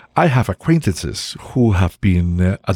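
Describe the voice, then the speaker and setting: Speaking with a Spanish accent, a man uses a very deep, low voice that is dark, mellow and somewhat breathy, with lively intonation at a fairly slow pace, in a dry, close sound with no echo on a very clean recording with a silent background. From Mexico. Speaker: family doctor and army veteran. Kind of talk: interview storytelling. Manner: halting with fillers.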